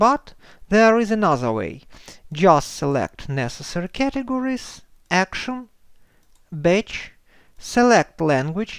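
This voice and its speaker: With a Ukrainian accent, a man speaks at a fairly slow pace, his high pitch making very wide swings. The sound is dry and close with no echo, on a very clean recording with a silent background. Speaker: software tutorial creator. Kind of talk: tutorial.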